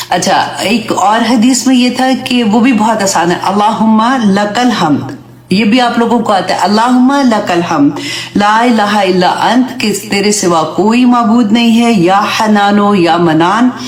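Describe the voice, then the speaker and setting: Amid noticeable background noise and audible room echo, a woman speaks at a very slow pace with a fairly high pitch, ordinary pitch variation, very even loudness and hardly any pauses. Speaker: Islamic teacher. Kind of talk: religious lecture.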